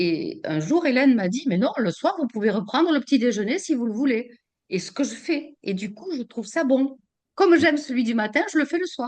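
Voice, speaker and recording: A woman speaks high in her range, her pitch swinging very widely and her loudness rising and falling in big jumps. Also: moderate pace. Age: 70s. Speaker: customer giving testimonial. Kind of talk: testimony interview. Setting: video call. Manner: halting, many repetitions and fillers.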